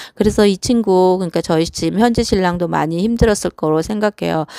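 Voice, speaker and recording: A woman with a fairly low pitch and a dark, mellow tone speaks with ordinary pitch variation in a dry, close sound with no echo. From South Korea. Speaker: vlogger. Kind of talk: personal monologue. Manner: hesitant, with fillers.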